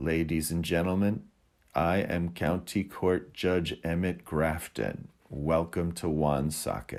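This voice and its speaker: A man puts on a gravelly character voice at a very deep, low pitch. He speaks at a fairly slow pace with ordinary pitch variation. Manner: quiet, hard to hear.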